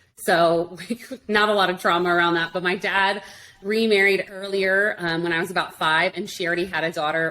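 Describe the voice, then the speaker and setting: Through noticeable background noise, a woman speaks fairly quickly at a medium pitch with ordinary pitch variation. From Arizona, US (Tucson). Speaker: internet marketing expert. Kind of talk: interview conversation. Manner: fast.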